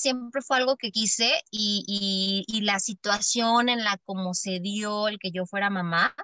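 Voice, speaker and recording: A woman speaks at a very slow pace with hardly any pauses. Her pitch is fairly high, with ordinary variation. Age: 20s. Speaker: social worker and mother. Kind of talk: casual interview.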